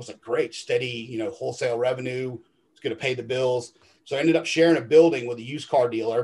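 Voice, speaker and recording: Speaking very fast, a man with a medium pitch sounds somewhat breathy, his intonation fairly even while his loudness swings widely. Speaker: detailing business owner. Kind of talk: interview.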